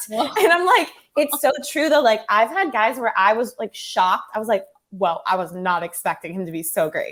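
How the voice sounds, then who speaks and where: Speaking with an American accent, this voice moves at a fairly quick pace in an animated tone with very wide pitch swings. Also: woman, fairly high pitch for a woman. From US West Coast, Orange County. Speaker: actress and dating app founder. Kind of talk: casual chat. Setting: podcast interview.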